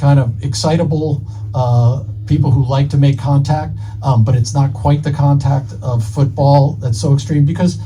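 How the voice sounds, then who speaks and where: Music plays in the background and the room echo is audible. The voice moves at a moderate pace with very even loudness and ordinary pitch variation. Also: man, medium pitch for a man. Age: 60s. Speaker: author. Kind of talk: live podcast interview. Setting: live event at a bookstore with audience. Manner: halting, many fillers and repeats.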